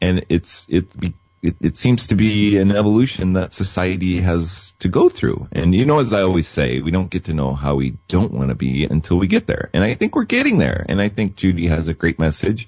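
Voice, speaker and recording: Talking at a fairly quick pace, a man with an American accent uses lively intonation, his very deep, low voice showing vocal fry. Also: hardly any pauses. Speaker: radio host. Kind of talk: talk radio interview. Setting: studio. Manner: warm, relaxed, soothing.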